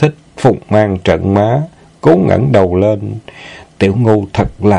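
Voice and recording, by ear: The clip is reading aloud in a natural voice.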